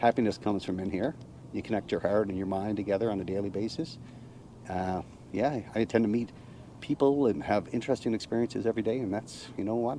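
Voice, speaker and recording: A man with a Cape Breton accent talks very fast in a fairly low, dark, mellow voice with ordinary pitch variation. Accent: Canadian Maritime (Cape Breton). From Cape Breton Island, Nova Scotia, Canada. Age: 60s. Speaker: retired navy veteran, RV nomad. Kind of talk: casual interview chat.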